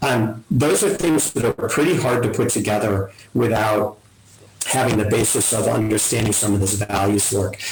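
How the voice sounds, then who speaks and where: A man with a fairly low voice speaks at a very even loudness over noticeable background noise. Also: ordinary pitch variation. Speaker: family wealth advisor, webinar presenter. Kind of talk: webinar presentation. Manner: fast.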